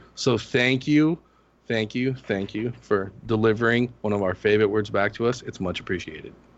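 Using an ordinary speaking voice, a man talks at a moderate pace with medium pitch and ordinary pitch variation. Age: 40s. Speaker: fantasy sports player. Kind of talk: casual chat. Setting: phone call.

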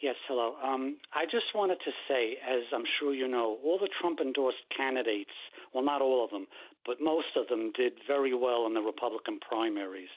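A man's voice at a medium pitch, with ordinary pitch variation and very even loudness. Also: moderate pace. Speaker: caller. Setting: phone call. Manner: halting.

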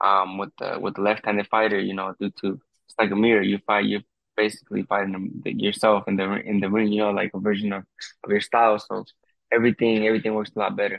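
A man with an American accent, a fairly low pitch, monotone, flat intonation and a fairly quick pace. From US, Mexican American. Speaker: professional boxer. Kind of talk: interview. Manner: halting.

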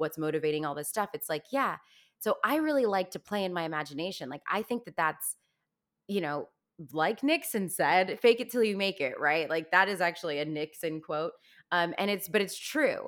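Recorded very cleanly against a silent background, a woman uses a normal speaking voice at a medium pitch, with lively intonation and a moderate pace. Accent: American. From Virginia, US (Fairfax County), high school in Los Angeles. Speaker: Broadway actress and singer. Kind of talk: casual interview.

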